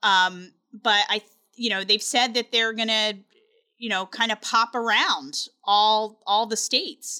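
With an American accent, a woman speaks at a fairly slow pace with a fairly high pitch and a bright, sharp tone. Her intonation is fairly even, and the sound is dry and close with no echo. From US, Delaware. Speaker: tech news reporter. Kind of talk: casual interview. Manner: hesitant, many fillers.

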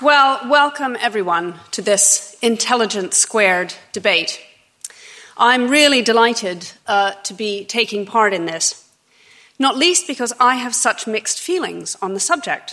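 A woman with an American accent, her pitch fairly high, her pace fairly slow and her intonation lively. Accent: American, rhotic. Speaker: debate moderator. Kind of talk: debate moderation. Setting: stage with audience.

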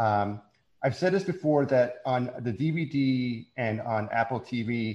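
A man talks in a normal speaking voice at a medium pitch. His pitch varies in an ordinary way over a quiet background. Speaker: social media creator. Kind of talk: casual chat.

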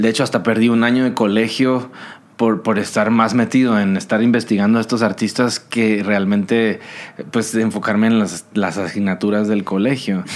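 This man talks at a moderate pace in a medium pitch, his intonation monotone and flat and his loudness very even. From Guatemala. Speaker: singer-songwriter. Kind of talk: casual interview.

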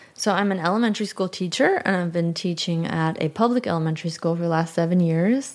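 A woman's fairly low-pitched voice at a very fast pace, with very even loudness and hardly any pauses. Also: ordinary pitch variation. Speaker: elementary school teacher, church singer. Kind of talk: testimony.

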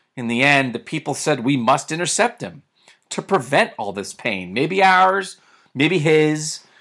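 On a very clean recording with a silent background, a man speaks with a fairly high pitch and a bright, sharp tone. His pitch swings very widely, with vocal fry. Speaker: radio and podcast host, sports commentator. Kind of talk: scripted children's story read aloud in rhyming verse.

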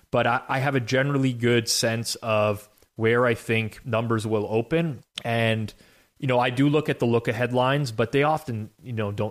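The very clean recording with a silent background carries a man's plain, everyday voice at a medium pitch and moderate pace, with ordinary pitch variation. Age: 30s. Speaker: sports betting podcast host. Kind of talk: casual sports betting analysis chat.

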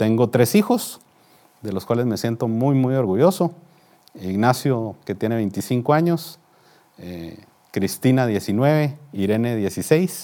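A man with a dark, mellow tone speaks at a medium pitch and very slow pace. His intonation is lively, with long, frequent pauses. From Guatemala, Guatemala City. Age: 50s. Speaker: business executive. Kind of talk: interview. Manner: formal.

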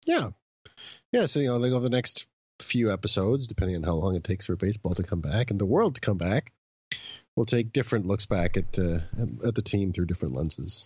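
Very fast, somewhat breathy speech with lively intonation. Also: man, fairly low pitch for a man, very even loudness. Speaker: podcast co-host, baseball commentator. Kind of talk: casual chat about baseball history. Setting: recorded remotely from home.

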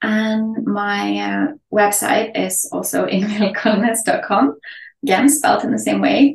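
Music runs in the background. The woman over it talks at a fairly slow pace. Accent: Norwegian. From Norway. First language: Norwegian. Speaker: photography educator and mentor. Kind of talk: interview.

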